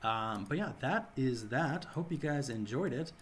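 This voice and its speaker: A man with an American accent talks fairly slowly in a somewhat breathy voice. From US Midwest. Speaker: gaming YouTuber. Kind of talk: gameplay tutorial commentary. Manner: casual.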